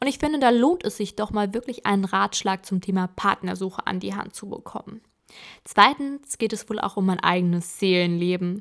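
Recorded very cleanly against a silent background, a woman speaks at a moderate pace in a medium pitch with ordinary pitch variation and a normal speaking voice. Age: 20s. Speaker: podcaster. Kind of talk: personal monologue podcast.

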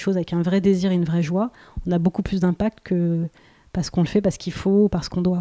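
A woman's dark, mellow voice holds a monotone, flat intonation in a dry, close sound with no echo. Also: very clean recording, silent background. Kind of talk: casual interview. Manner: hesitant, many fillers; pauses and tremolos.

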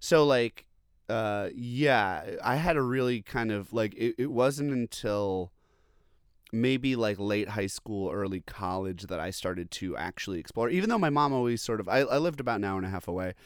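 With an American accent, a man talks in a plain, everyday voice at medium pitch and a moderate pace, his intonation lively, on a very clean recording with a silent background. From Long Island, New York. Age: 30s. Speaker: record label head and drummer. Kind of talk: casual chat. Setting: at home.

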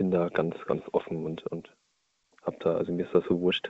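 A man is speaking. His pace is fairly quick. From northern Germany, Hamburg area. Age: 20s. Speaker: caller, van dweller. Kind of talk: phone-in call. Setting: phone call from his van.

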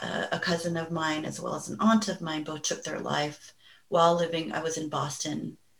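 A woman with vocal fry, fairly low in pitch, at a moderate pace. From Los Angeles, US. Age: 40s. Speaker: mental health therapist. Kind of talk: interview.

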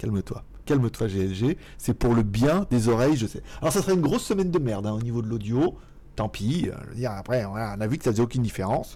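Very fast, lively intonation from a man, medium pitch with a dark, mellow tone. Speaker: tech YouTuber. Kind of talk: casual live stream chat. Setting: home studio, computer mic. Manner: usually loud.

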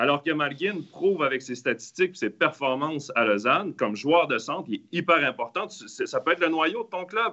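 An ordinary speaking voice from a man of fairly high pitch, lively in intonation, at a moderate pace with hardly any pauses. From Quebec. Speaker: ice hockey analyst. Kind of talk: casual panel discussion.

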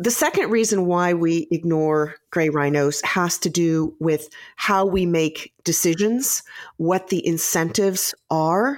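A woman speaks at a very slow pace with an American accent. Her fairly low pitch shows ordinary variation, and her loudness stays very even. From US Midwest. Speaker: author and strategist. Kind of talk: interview.

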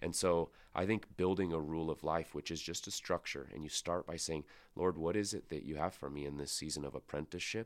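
A man with a Pacific Northwest accent speaks fairly quickly in a very deep, low voice. His intonation stays fairly even on a very clean recording with a silent background. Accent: American (Pacific Northwest). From US Pacific Northwest, Spokane, Washington. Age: 30s. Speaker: pastor. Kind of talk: podcast interview. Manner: casual, with filler words.

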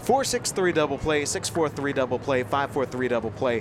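A man speaks in a relaxed tone at a fairly high pitch with lively intonation. There is noticeable background noise. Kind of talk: color commentary alongside play-by-play. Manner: conversational, analytical, relaxed.

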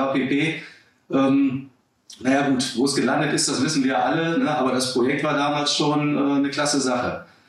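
A man speaks at a fairly high pitch and a moderate pace. His intonation is monotone and flat, with audible room echo around him. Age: 40s. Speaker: online retail executive. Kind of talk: podcast interview. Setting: office. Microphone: poor sound quality, first podcast.

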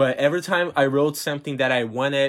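The speaker has a Portuguese accent, captured in a very clean recording with a silent background. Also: man. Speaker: podcast host and author. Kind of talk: solo podcast monologue. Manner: casual, with many fillers and restarts.

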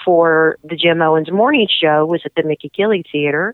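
A woman speaks in a plain, everyday voice at a fairly low pitch. Her pace is moderate. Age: 50s. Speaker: TV show producer and singer. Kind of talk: radio interview. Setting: radio studio.

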